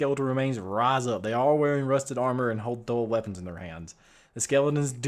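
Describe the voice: The voice is plain reading aloud. It is read plainly throughout.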